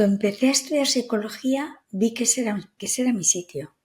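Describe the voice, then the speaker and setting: A woman with a high pitch and a dark, mellow tone. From Spain. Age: 60s. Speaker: psychotherapist. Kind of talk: interview conversation.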